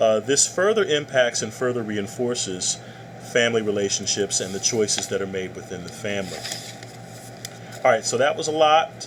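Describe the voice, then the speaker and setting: Amid noticeable background noise, a man at a medium pitch speaks with ordinary pitch variation and long, frequent pauses. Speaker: college professor. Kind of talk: lecture. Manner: fast.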